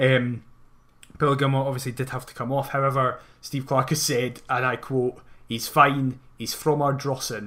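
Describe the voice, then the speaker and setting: Speaking with a Scottish accent, a man uses a bright, sharp tone at medium pitch. His intonation is monotone and flat, at a moderate pace. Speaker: football podcast host. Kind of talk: casual chat.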